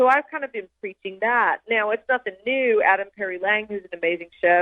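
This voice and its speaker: With an Australian accent, a woman talks at a fairly quick pace with ordinary pitch variation. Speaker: chef and meat scientist. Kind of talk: interview answer.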